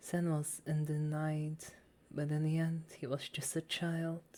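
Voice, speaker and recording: The soft-spoken voice has a dark, mellow tone and a very slow pace. It is a very clean recording with a silent background. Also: woman. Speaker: ASMR reader / VTuber. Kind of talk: soft story reading for sleep. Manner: soft-spoken, relaxing.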